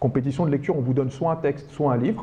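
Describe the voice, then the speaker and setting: Dark, mellow male speech, somewhat breathy in quality. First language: Arabic (speaking French). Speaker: teacher and speed-reading trainer, author. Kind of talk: public talk to an audience.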